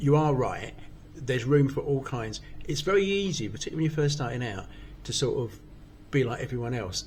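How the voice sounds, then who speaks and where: A man speaks at a very fast pace. Vocal fry is present in his voice. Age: 60s. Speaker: amateur stand-up comedian. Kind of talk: casual chat.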